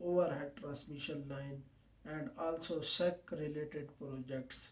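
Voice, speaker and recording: Speaking at a very slow pace, a man with a Pakistani accent has a dark, mellow tone and ordinary pitch variation. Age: 20s. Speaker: safety officer. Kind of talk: mock job interview. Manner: formal; halting.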